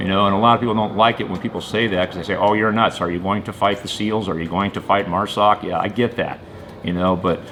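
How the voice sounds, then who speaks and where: There is noticeable background noise behind this man. He speaks at a fairly low pitch with fairly even intonation. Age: 50s. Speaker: small business owner. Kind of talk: interview answers. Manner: hesitant, many fillers.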